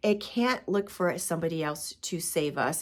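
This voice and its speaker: Recorded very cleanly against a silent background, a woman with an unremarkable speaking voice talks at a moderate pace with a fairly low pitch and ordinary pitch variation. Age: 50s. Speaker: spiritual coach, podcaster. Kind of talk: casual talk to camera.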